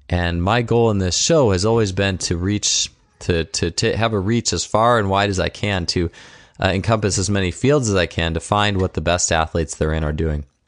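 An unremarkable speaking voice from a man, fairly low in pitch, at a moderate pace, with ordinary pitch variation and very even loudness. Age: 30s. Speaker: podcast host and coach. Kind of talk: scripted intro; podcast interview.

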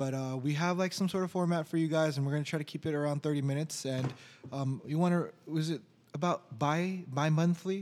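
An unremarkable speaking voice belongs to a man with an American accent, fairly high pitch, fairly even intonation, very even loudness and a fairly quick pace. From Orange County, California. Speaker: podcast co-host, IT worker. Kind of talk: casual chat.

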